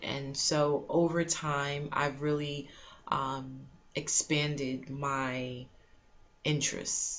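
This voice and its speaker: A woman talks in a very deep, low pitch with a monotone, flat intonation. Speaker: HR blogger. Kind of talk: casual vlog chat. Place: home room. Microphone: webcam.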